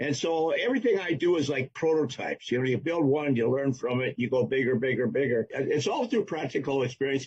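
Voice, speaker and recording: The speech moves at a fairly quick pace with hardly any pauses, somewhat breathy, with ordinary pitch variation and very even loudness. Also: man, fairly high pitch for a man. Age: 80s+. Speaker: rocket builder and film stunt technician. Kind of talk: interview.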